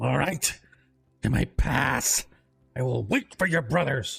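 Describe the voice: A man puts on a raspy character voice and speaks at a fairly slow pace, with faint music in the background.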